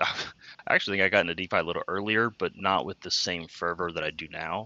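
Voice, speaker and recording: A man speaks with an American accent and a very deep, low pitch. His pitch variation is ordinary. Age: 20s. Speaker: crypto investor. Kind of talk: casual chat.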